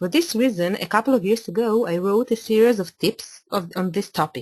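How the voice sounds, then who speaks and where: A woman speaks with an Italian accent at a moderate pace, her voice somewhat breathy. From Italy (Milan). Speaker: architect. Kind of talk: webinar presentation. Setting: online webinar.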